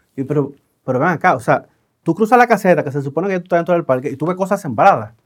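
A man's high voice at a very fast pace. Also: lively intonation. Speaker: podcast host. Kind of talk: interview. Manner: casual.

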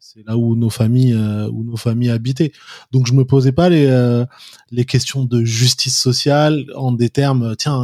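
A man's dark, mellow voice at medium pitch, monotone and flat, moderately paced, with big swings in loudness. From France, Paris. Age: 40s. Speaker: activist and former finance professional. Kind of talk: interview.

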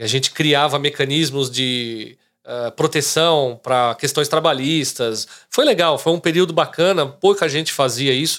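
A man speaks in a plain, everyday voice, fairly high-pitched with ordinary pitch variation. The recording is very clean, with a silent background. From Brazil, São Caetano, greater São Paulo. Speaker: real estate agent. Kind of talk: casual interview chat.

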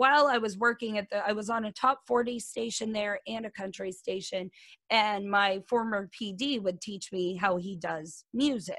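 A woman's ordinary speaking voice, fairly high in pitch, with an American accent, a fairly slow pace, and big swings in loudness. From Kansas. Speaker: radio host. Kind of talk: casual chat.

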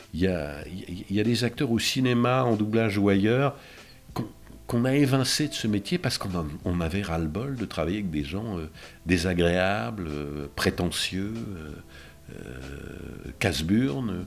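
A man with a fairly low pitch uses lively intonation. He goes at a fairly slow pace with long, frequent pauses. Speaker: voice actor. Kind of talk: interview.

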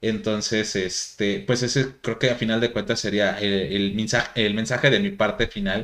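A man's medium-pitched, a normal speaking voice, with fairly even intonation, a moderate pace and hardly any pauses. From Mexico. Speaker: podcast host. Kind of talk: casual chat.

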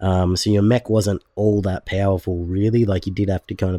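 A man with an Australian accent speaks at a fairly quick pace, fairly low in pitch with a dark, mellow tone. His intonation is monotone and flat, and the sound is dry and close with no echo. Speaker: gaming podcast co-host. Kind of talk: casual chat. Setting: remote call with co-host.

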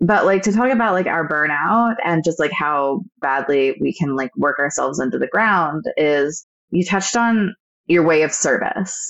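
Using a normal speaking voice, a woman with an American accent talks at a moderate pace with lively intonation and very even loudness. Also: fairly low pitch for a woman. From United States. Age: 30s. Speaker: podcast co-host, administrative assistant. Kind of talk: casual chat.

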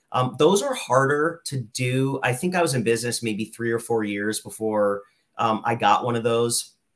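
With an American accent, a man has an unremarkable speaking voice, a medium pitch, ordinary pitch variation and a moderate pace. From Lehigh Valley, Pennsylvania. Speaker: real estate investor, former chemical engineer. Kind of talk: interview.

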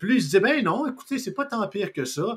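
A man with a Quebec accent at a fairly quick pace. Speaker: podcast host. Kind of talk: casual political talk show.

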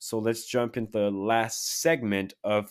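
In a very clean recording with a silent background, a man uses a plain, everyday voice at medium pitch, speaking at a fairly slow pace with fairly even intonation. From Quebec, Canada. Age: 20s. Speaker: podcast host. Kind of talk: casual solo monologue.

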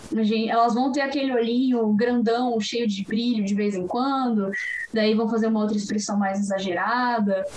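In a recording with noticeable background noise and audible room echo, a woman speaks with fairly even intonation. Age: 20s. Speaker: animation film commentator. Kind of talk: casual chat.

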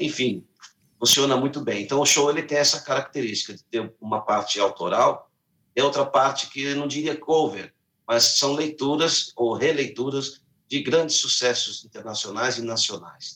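A bright, sharp tone carries ordinary pitch variation. Speech moves at a moderate pace. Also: man, fairly high pitch for a man. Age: 50s. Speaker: singer and musician. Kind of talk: interview.

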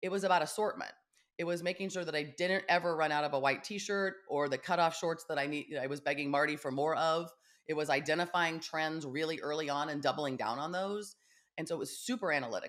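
A woman with an American accent talks at a fairly quick pace. Her pitch is very deep and low. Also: ordinary pitch variation. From Kansas, US Midwest. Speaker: sales consultant for startup founders. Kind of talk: casual interview. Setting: video call.

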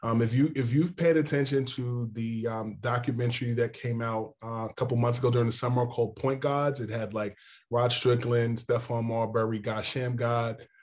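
In a New York accent, a man speaks at a moderate pace, somewhat breathy, with monotone, flat intonation. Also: medium pitch for a man, quiet background. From New York City and northern New Jersey. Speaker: NBA insider, sports journalist. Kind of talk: interview.

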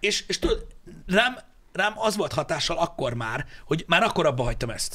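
An animated man, high-pitched for a man, with a bright, sharp tone, very wide pitch swings and a moderate pace. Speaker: podcast host. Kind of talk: casual chat. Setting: studio.

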